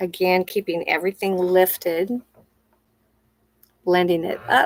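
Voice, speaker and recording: A woman of medium pitch talks at a fairly slow pace in a plain, everyday voice. The sound is dry and close, with no echo. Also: fairly even intonation. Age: 60s. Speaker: makeup artist. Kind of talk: tutorial. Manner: casual, conversational.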